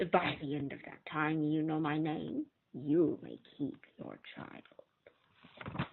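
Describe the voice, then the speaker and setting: Putting on a character voice, a woman speaks at a very slow pace with a very deep, low pitch and big swings in loudness. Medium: read story. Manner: sly, bargaining.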